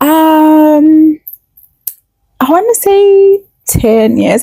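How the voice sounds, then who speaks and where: Recorded with a dry, close sound and no echo, a high-pitched woman speaks in a relaxed, dark, mellow tone with very wide pitch swings. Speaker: podcast co-host. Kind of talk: casual chat. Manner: relaxed, conversational.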